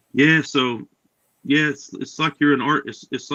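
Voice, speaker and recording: In an American accent, a man speaks at a fairly high pitch with ordinary pitch variation. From New York, Rockaway. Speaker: comic book artist and writer. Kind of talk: interview.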